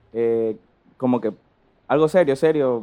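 The tone is dark and mellow as a man talks fairly slowly. Behind him, the background stays quiet. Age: 20s. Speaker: business student and importer. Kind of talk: casual chat. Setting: in class during call.

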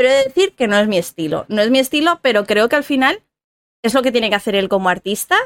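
A woman talks in a plain, everyday voice at a fairly quick pace, her pitch fairly high and her intonation lively. The sound is dry and close, with no echo. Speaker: podcast co-host. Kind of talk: casual chat.

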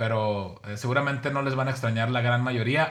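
The man's tone is bright and sharp, his intonation fairly even, in a very clean recording with a silent background. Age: 40s. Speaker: podcast co-host. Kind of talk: casual chat.

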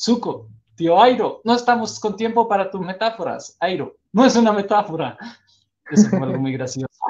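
The man's pitch is high and his intonation lively. He talks at a moderate pace. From Costa Rica. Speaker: podcast host. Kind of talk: casual chat. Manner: animated, laughs often.

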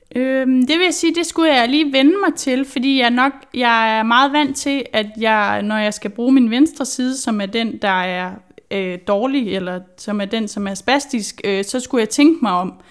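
On a very clean recording with a silent background, a woman speaks fairly slowly in a high pitch with lively intonation and hardly any pauses. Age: 20s. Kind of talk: interview. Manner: hesitant, many fillers.

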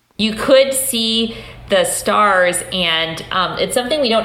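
A woman at a fairly slow pace with ordinary pitch variation, amid audible room echo and noticeable background noise. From upstate New York, US. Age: 40s. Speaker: sociology professor. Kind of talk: interview conversation.

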